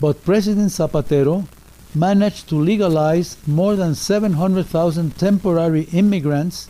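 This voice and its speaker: Fairly even intonation at a moderate pace. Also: man. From Mexico. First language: Spanish. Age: 80s+. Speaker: political commentator. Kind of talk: prepared political message. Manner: formal.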